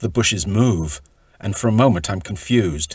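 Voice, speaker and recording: Somewhat breathy and lively in intonation, the voice moves at a fairly slow pace on a very clean recording with a silent background. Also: man. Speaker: author reading from his own book. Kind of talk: audiobook-style reading of own travel memoir.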